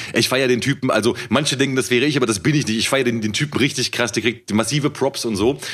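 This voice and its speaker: This man talks at a very fast pace with hardly any pauses, keeping a medium pitch, ordinary pitch variation and very even loudness. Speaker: rapper and podcast co-host. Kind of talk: casual chat.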